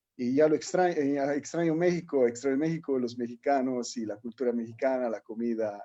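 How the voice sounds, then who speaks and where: This man has an Italian accent and a dark, mellow tone at medium pitch. He talks at a moderate pace with ordinary pitch variation. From Italy. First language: Italian (speaking Spanish). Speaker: alternative medicine instructor. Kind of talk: workshop lecture. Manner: halting, with repetitions.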